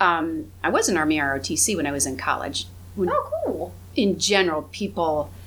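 The speaker has a Midwestern American accent. The pace is moderate. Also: woman. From northwest Ohio (Findlay). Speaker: government executive. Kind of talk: casual chat.

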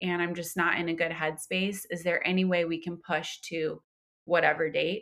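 A woman with an American accent speaks at a moderate pace in monotone, flat intonation, her bright, sharp tone fairly low in pitch, on a very clean recording with a silent background. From New York, Westchester County. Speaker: entrepreneur, social media consultant. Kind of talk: casual interview chat.

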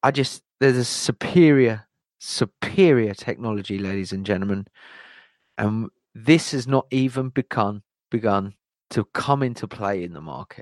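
A man's normal speaking voice at medium pitch, with lively intonation, a dry, close sound with no echo and a quiet background. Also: moderate pace, big swings in loudness. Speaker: crypto channel host. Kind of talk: live-streamed crypto commentary turning into a fiery, preachy rant. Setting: online livestream with chat.

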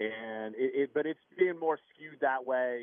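Here is a man with a plain, everyday voice at a medium pitch. He speaks at a fairly slow pace with ordinary pitch variation. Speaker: sports reporter. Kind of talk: sports interview, analysis. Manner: casual, conversational.

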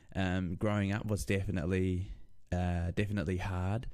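A man with a New Zealand accent speaks in a very deep, low voice, his dark, mellow tone delivered with flat, monotone intonation. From New Zealand (Lower Hutt, Wellington). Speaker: streamer. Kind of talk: casual interview. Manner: halting, many fillers.

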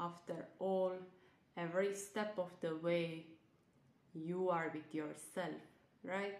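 Very slow and broken by long, frequent pauses, a woman speaks at a fairly low pitch with monotone, flat intonation. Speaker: nutritionist and self-love coach. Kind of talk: guided meditation; casual podcast intro and outro. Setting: online live event recording. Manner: soft, slow, soothing.

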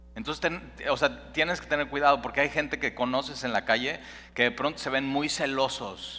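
Over music in the background, a man talks in a fairly high voice. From Mexico City. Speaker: pastor. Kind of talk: sermon. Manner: halting.

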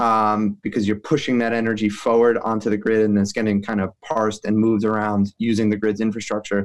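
Against a quiet background, a man with a fairly low pitch talks fairly quickly with hardly any pauses, flat monotone intonation, and very even loudness. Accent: American. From New York City. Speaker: renewable energy company president, former lawyer. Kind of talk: interview.

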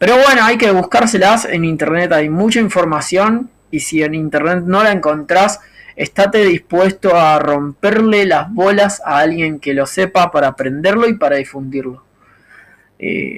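Speaking in a Rioplatense accent, a man with a high pitch goes at a fairly slow pace with ordinary pitch variation. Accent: Argentine Rioplatense Spanish. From Argentina. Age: 30s. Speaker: podcaster. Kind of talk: solo monologue podcast. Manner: improvised, thinking aloud.

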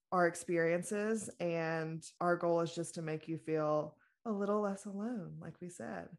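A woman with an American accent has a plain, everyday voice, fairly low in pitch with ordinary pitch variation. She speaks at a fairly slow pace with big swings in loudness on a very clean recording with a silent background. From US South, small-town Louisiana. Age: 20s. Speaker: podcast co-host, mental health coach. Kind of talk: casual chat.

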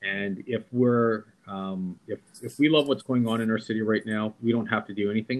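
A man with a Canadian accent uses an unremarkable speaking voice, talking at a moderate pace and medium pitch with fairly even intonation. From Vancouver, Canada. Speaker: entrepreneur and mayoral candidate. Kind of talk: interview.

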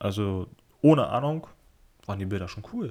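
The pace is moderate as a man speaks with ordinary pitch variation. The recording is very clean, with a silent background. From northern Germany, Kiel. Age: 20s. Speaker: podcaster and part-time photographer. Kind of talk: casual solo podcast monologue.

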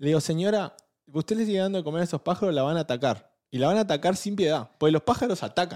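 Over a silent background in a very clean recording, a man speaks at a high pitch and a very fast pace. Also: lively intonation. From Argentina. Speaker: podcast co-host. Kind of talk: casual chat. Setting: studio.

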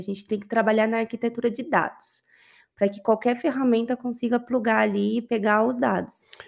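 In a very clean recording with a silent background, a woman with a plain, everyday voice talks at a fairly high pitch with ordinary pitch variation. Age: 30s. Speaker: business intelligence analyst. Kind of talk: interview.

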